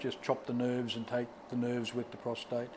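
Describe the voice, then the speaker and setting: A man with an Australian accent and a medium pitch. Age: 60s. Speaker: prostate cancer survivor. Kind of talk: interview answer.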